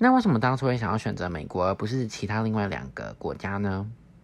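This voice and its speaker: Fairly low in pitch, a man talks at a moderate pace in an unremarkable speaking voice, captured in a very clean recording with a silent background. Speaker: podcast host, former exchange student. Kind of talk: casual interview chat.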